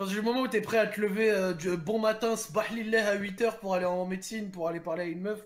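Over noticeable background noise, a man with a high pitch talks at a very fast pace with fairly even intonation and hardly any pauses. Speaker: stream co-host giving advice to callers. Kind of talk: casual chat. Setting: online voice chat.

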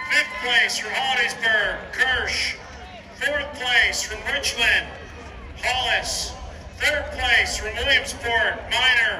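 Against noticeable background noise, a man speaks at a very slow pace in an extremely high pitch. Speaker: stadium announcer. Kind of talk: live track meet announcing, reading out results by place. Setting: PA system at outdoor stadium. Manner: brisk, formal, steady sing-song countdown to a winner, with stress on the winner's line. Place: stadium.

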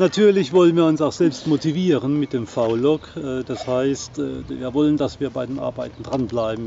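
Against light background noise, a man speaks fairly slowly at medium pitch, the sound dry with no echo. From southern Palatinate, southwest Germany; Germany. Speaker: vlogger, sailboat owner; vlogger. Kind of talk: casual vlog talk to camera. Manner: hesitant, many fillers. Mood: relaxed, friendly. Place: open country. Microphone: phone near.

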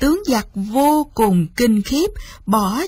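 A woman talks slowly with lively intonation and a slightly husky edge.

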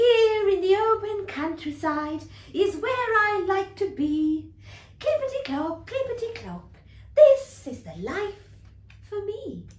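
A woman's squeaky, put-on character voice at an extremely high pitch, fairly slow in pace, with audible echo. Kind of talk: bedtime story. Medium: read story. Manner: rhythmic, sing-song. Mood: content, sing-song.

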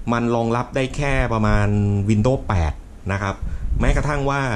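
A man's speech, with ordinary pitch variation, plays against light background noise. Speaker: tech reviewer. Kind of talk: tutorial. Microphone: phone near.

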